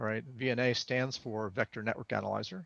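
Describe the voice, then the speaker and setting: Speaking at a fairly quick pace with a New Jersey accent, a man uses a medium pitch with vocal fry. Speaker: engineer and amateur radio presenter. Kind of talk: technical presentation.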